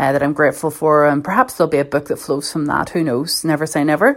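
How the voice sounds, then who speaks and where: A woman speaks with a Belfast accent at a very fast pace. Her pitch is very deep and low. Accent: Belfast Northern Irish. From Northern Ireland, North Belfast. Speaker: journalist. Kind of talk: personal reflection talk.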